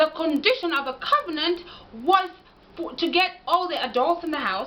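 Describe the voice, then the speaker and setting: A woman's extremely high, raised and projected voice, animated in tone with lively intonation at a moderate pace, amid noticeable background noise. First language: Ekegusii. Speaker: language and history commentator. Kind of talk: lecture-style monologue. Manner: animated, argumentative.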